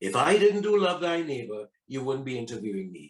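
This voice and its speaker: Very wide pitch swings from a male speaker at a moderate pace. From Trinidad. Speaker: actor. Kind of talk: interview answer.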